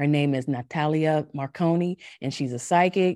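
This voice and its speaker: Heard in a very clean recording against a silent background, the voice has a North Carolina accent, a dark, mellow tone, fairly even intonation and a moderate pace. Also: woman. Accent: North Carolina Southern. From US South, North Carolina. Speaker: podcast host and life coach. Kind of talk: scripted podcast intro and promo; casual interview conversation.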